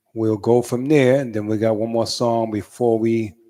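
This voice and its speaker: On a very clean recording with a silent background, a man with a strong New York accent speaks at a fairly slow pace in a dark, mellow tone at a medium pitch. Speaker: radio host. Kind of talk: radio interview. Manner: halting, many fillers.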